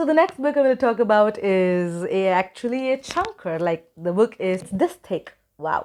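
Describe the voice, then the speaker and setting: A woman with a non-native accent, lively intonation and a moderate pace. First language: not English. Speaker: book YouTuber. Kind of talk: casual vlog talk. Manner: hesitant with many fillers.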